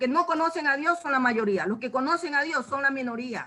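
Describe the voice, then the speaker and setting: With a raised, projected voice, a woman speaks at a high pitch in a bright, sharp tone with ordinary pitch variation. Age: 70s. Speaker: church member giving Bible study. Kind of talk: Bible study talk.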